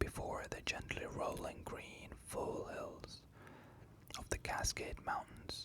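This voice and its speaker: Against noticeable background noise, a man whispers at a very slow pace. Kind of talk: ASMR bedtime story reading. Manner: whispered.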